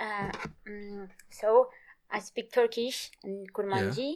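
At a slow pace, a woman speaks with a medium pitch. Her tone is slightly mellow and her intonation fairly even.

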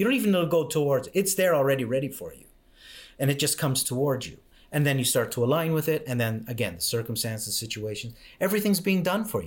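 A man talks very fast at a fairly high pitch, his loudness rising and falling sharply. His pitch leaps very widely, and his voice is somewhat breathy. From Canada. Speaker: mindset coach. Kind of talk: interview conversation. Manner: halting, repetitive.

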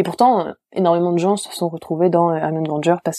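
In a dry, close sound with no echo, a woman with a dark, mellow tone talks at a fairly quick pace and fairly low pitch, her pitch varying in an ordinary way. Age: 20s. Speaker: literature graduate and bookseller. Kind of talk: casual interview.

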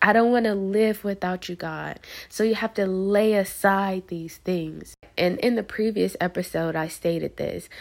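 A woman talks at a moderate pace and medium pitch, her intonation fairly even. The recording is very clean, with a silent background. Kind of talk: devotional monologue. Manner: draggy.

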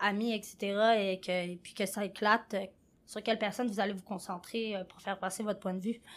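In a very clean recording with a silent background, a woman talks at a moderate pace with a medium pitch and monotone, flat intonation. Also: big swings in loudness. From France. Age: 20s. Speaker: podcast co-host, youth organization staff. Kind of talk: casual discussion.

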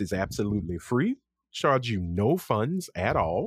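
Recorded very cleanly against a silent background with a dry, close sound and no echo, a man with a Louisiana accent speaks at a fairly slow pace using very wide pitch swings. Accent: Southern US, Louisiana. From Lafayette, Louisiana. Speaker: podcast host. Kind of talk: casual chat among friends.

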